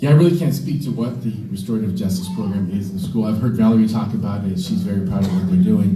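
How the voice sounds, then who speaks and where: Over noticeable background noise and audible room echo, a man of medium pitch speaks with very wide pitch swings. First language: Spanish. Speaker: school board candidate, teacher. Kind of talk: candidate forum debate.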